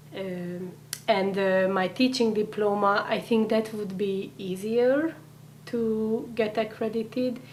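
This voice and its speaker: Through audible room echo, a woman with a Hungarian accent speaks at a very slow pace and medium pitch with ordinary pitch variation. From Hungary. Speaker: immigrant integration coordinator. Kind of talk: interview.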